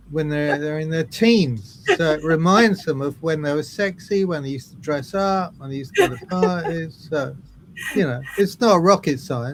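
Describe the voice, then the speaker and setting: Someone with a southern English accent speaks with ordinary pitch variation and big swings in loudness. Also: man, fairly high pitch for a man, moderate pace. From southern England, Brighton. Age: 70s. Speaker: drummer. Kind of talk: interview.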